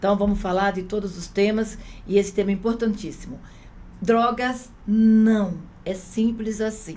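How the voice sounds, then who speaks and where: A woman at a fairly slow pace, medium-pitched with fairly even intonation, amid audible room echo. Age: 60s. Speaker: union activist. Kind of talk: casual chat.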